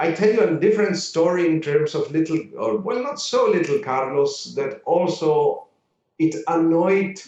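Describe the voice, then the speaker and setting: Speaking at a fairly slow pace, a man with a Spanish accent uses a high pitch and lively intonation. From Uruguay, Montevideo; moved to Vienna at 15. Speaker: orchestra conductor. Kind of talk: casual interview. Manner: animated.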